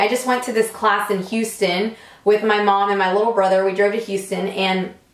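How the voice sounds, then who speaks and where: The speaker sounds animated and talks at a fairly quick pace over noticeable background noise. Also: woman. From Puerto Rico. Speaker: beauty salon owner and vlogger. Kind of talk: casual vlog storytelling. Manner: loud.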